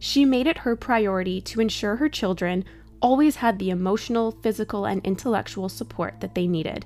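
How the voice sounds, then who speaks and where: A woman speaks at a fairly quick pace. She has a normal speaking voice with ordinary pitch variation. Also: medium pitch for a woman. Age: 30s. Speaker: true crime podcast host. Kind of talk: casual storytelling chat.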